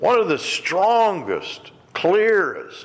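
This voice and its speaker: Very slowly, a man speaks over noticeable background noise. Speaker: preacher, ministry director. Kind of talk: sermon.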